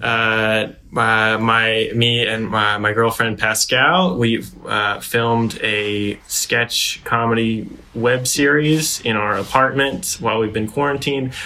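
A man's unremarkable speaking voice at medium pitch, fairly even in intonation, with hardly any pauses. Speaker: comedian. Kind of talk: comedic chat, improvised retelling.

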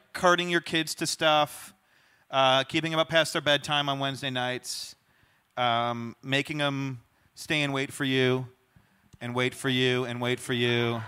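A man's medium-pitched voice at a fairly slow pace with fairly even intonation, in a very clean recording over a silent background. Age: 30s. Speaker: pastor. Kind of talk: church interview with guests. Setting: church stage with congregation. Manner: halting.

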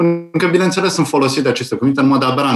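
This is a man talking. His pitch is fairly high.

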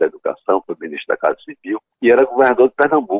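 A man talking at a very fast pace. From João Pessoa, Paraíba, Brazil. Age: 80s+. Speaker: retired-age public official and storyteller. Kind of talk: interview, personal reminiscence.

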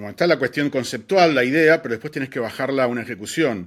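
A man talks with a Rioplatense accent. His pitch varies in an ordinary way. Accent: Argentine Rioplatense Spanish. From Argentina, Buenos Aires. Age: 40s. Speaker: advertising creative. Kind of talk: interview. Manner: hesitant with fillers and repetitions.

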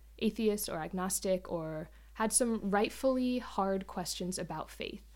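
A woman with a normal speaking voice talks at a moderate pace with ordinary pitch variation in a very clean recording with a silent background. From US South, northeast Florida (Jacksonville). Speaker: former Peace Corps volunteer, church plant member. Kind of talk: casual interview, faith testimony.

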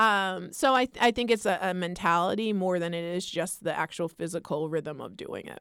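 A woman with a normal speaking voice talks at a moderate pace with hardly any pauses and big swings in loudness. The recording is very clean, with a silent background. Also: medium pitch for a woman, ordinary pitch variation. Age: 40s. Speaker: college basketball head coach. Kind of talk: casual interview. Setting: studio.

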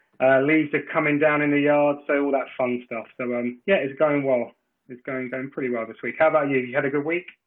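A man's normal speaking voice, fairly high-pitched and fairly quick, with fairly even intonation. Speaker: podcast co-host. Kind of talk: casual talk show interview.

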